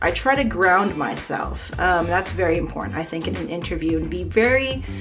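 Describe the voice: Talking at a fairly quick pace, a woman is heard with music in the background.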